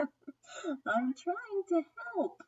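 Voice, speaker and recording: In a put-on character voice, a woman pushes her pitch extremely high. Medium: read story. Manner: eager, cheerful.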